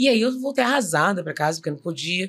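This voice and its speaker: A woman speaks at a fairly quick pace in a medium pitch. Hers is a plain, everyday voice. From Rio de Janeiro suburbs, Brazil. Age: 50s. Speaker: actress and director. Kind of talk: interview, personal story.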